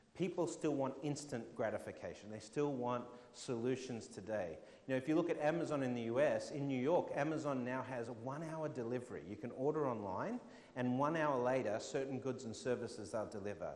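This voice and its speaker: Audible room echo surrounds a man speaking in an Australian accent at a fairly quick pace. His pitch is medium with ordinary variation. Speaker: fintech keynote speaker. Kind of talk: conference talk with audience Q&A.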